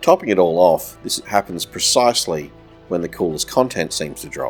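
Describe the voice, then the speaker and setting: Over music in the background, a man with a very deep, low pitch talks at a moderate pace. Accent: Australian. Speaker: gaming commentator. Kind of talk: video game commentary narration.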